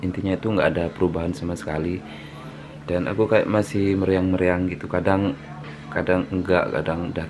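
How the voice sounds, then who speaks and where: Against noticeable background noise, a man with a very deep, low pitch speaks at a fairly quick pace with fairly even intonation. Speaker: vlogger. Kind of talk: video diary.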